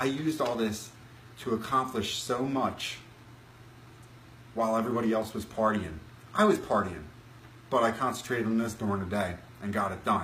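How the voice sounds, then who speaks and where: A man talking at a fairly quick pace, with long, frequent pauses and audible room echo. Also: medium pitch for a man, ordinary pitch variation. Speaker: self-improvement vlogger. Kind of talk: live stream talk. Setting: Facebook live stream from laptop. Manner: halting, some stuttering.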